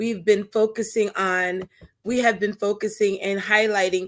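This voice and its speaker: A woman speaks loudly with fairly even intonation. The recording is very clean, with a silent background. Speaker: talk show host and stalking survivor. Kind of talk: personal testimony on live show. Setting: Facebook live stream. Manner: loud, projecting; halting with fillers.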